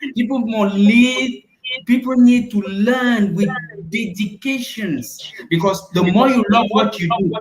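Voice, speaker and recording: A man with a Cameroonian accent, a high pitch, ordinary pitch variation and a very slow pace. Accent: Cameroonian Francophone English. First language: French. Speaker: international student. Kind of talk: live stream Q&A interview. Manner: emphatic.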